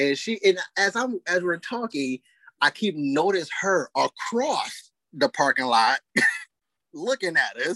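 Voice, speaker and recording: This man's raised, projected voice sits high in pitch and swings very widely up and down at a very slow pace. The sound is dry and close with no echo. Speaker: podcast co-host. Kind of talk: casual chat. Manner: loud; animated.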